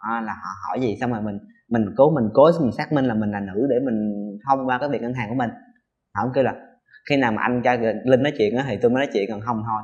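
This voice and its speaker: Speaking at a very fast pace, the man has a medium pitch and fairly even intonation. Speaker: transgender interviewee. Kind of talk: interview testimony.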